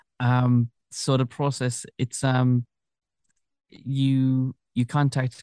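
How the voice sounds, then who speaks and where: A man talks with a Kerry accent in a dark, mellow tone. The sound is dry and close with no echo, over a quiet background. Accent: Kerry Irish. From Ireland, Tralee, County Kerry. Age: 30s. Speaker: continuity announcer. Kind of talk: interview.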